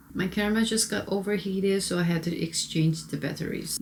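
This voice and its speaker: A woman with a Korean accent speaks at a moderate pace and medium pitch with ordinary pitch variation. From South Korea. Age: 30s. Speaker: beauty vlogger. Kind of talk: makeup tutorial. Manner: casual, conversational.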